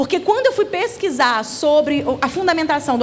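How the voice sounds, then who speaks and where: A woman speaks with a high voice and very wide pitch swings. Noticeable background noise runs behind her. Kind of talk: church seminar talk. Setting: church seminar with audience. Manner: fast.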